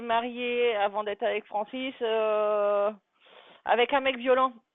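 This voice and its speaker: Fairly even intonation marks a woman's voice at a fairly high pitch. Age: 40s. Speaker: live streamer. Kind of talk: casual chat. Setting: live stream.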